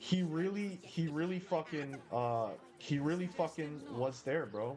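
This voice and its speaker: Music plays in the background as a man speaks at a fairly slow pace. His pitch is fairly high, with ordinary variation. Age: 20s. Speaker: gaming streamer. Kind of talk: casual chat with live stream viewers while gaming. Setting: live stream.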